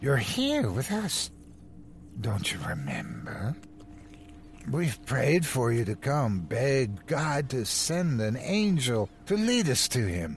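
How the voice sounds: Speaking slowly, a man puts on a character voice at a medium pitch, with vocal fry and very wide pitch swings.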